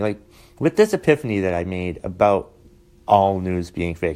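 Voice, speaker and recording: Fairly quick speech from a man, dark and mellow in tone. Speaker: stand-up comedian and podcast host. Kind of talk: solo podcast monologue. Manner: halting, stuttering with many fillers.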